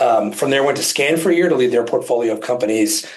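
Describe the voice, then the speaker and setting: A man with a New Jersey accent talks at a very fast pace and a medium pitch. Room echo is audible. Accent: New Jersey American. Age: 40s. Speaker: physician and healthcare advisor. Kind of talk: interview presentation.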